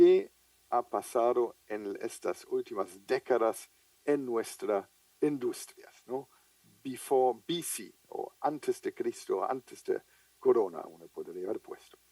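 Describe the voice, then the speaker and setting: Dry and close with no echo, the speech moves at a very slow pace with big swings in loudness. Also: man. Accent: German. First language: German (speaking Spanish). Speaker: international trade logistics official. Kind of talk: conference lecture. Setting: video call from home office. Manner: hesitant with fillers.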